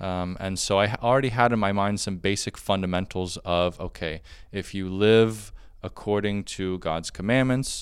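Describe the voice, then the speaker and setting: An American man speaks in a normal speaking voice, at a moderate pace and a fairly low pitch. His intonation is fairly even, and the recording is very clean with a silent background. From Florida, US. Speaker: monk and priest. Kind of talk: testimony. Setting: monastery.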